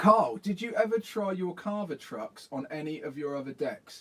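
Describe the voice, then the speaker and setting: Fairly slow speech from a high-pitched man with a southern English accent. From southern England. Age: 40s. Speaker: skateboarding youtuber. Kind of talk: live stream chat. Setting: garden shed. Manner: animated.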